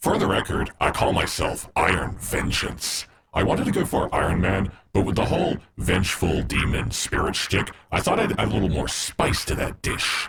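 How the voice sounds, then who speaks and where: Using a put-on character voice, a man is speaking. His pace is moderate. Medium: audio drama. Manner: sarcastic, quick.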